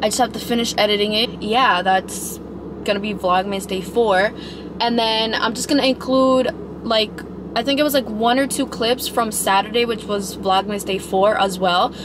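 A woman at a moderate pace with ordinary pitch variation, dry sound with no echo and noticeable background noise. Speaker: vlogger. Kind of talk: casual vlog chat. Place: car.

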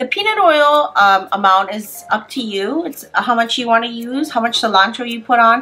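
A woman talks at a moderate pace in a high pitch, with faint music in the background. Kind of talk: tutorial. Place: kitchen.

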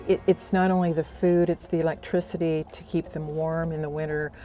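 A woman's very deep, low voice, flat and monotone, dry with no echo, over noticeable background noise. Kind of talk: interview answer. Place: garden. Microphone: lapel.

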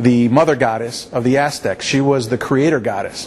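Light background noise sits behind a man with an American accent. He talks at a moderate pace with ordinary pitch variation. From Mexican American community, US. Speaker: lawyer and civil rights advocate; lawyer. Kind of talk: interview. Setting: art museum. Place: hall.

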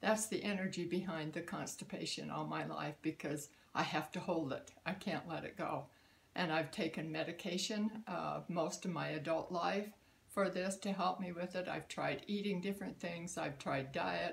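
A woman speaks at a moderate pace, her voice marked by vocal fry. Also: fairly low pitch for a woman, ordinary pitch variation. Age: 80s+. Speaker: customer giving a product testimonial. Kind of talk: testimonial talk to camera. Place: home room. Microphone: phone near.

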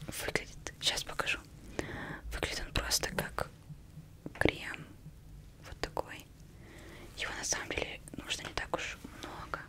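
Whispering at a fairly slow pace with long, frequent pauses. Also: woman. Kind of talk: soft-spoken roleplay talk. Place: home room. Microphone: studio mic.

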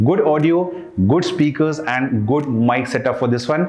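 Faint music plays in the background as a man speaks at a moderate pace, with audible room echo. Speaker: tech reviewer. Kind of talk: product review. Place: studio. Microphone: lapel.

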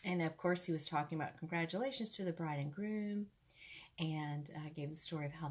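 Somewhat breathy, this voice keeps a moderate pace and ordinary pitch variation. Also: woman. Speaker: ministry host sharing a testimony. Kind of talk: casual storytelling sermon. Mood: warm, conversational. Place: home room. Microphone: earbuds.

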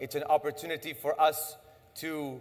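At a fairly slow pace, a man speaks. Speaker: political party official; speaker. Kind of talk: speech with poetry reading. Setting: stage with audience. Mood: earnest, impassioned. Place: hall.

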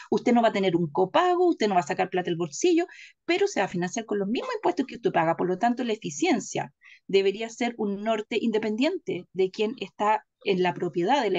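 A woman at a very fast pace with very wide pitch swings and a quiet background. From Chile. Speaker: political commentator. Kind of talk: political discussion. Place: home room. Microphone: webcam.

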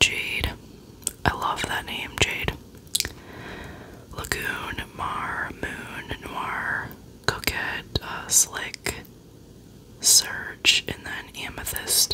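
A soft-spoken woman whispers at a very slow pace with long, frequent pauses over noticeable background noise. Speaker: beauty content creator. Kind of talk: casual review chat. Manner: soft close-mic ASMR whisper. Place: home room. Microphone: studio mic.

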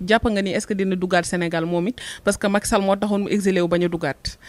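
A woman speaking at a very fast pace. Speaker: host. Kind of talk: casual interview chat. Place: studio.

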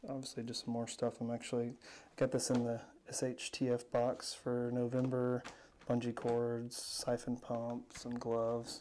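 Speech moves at a moderate pace over light background noise. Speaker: home video vlogger. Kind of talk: casual room tour narration. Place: home room. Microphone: phone near.

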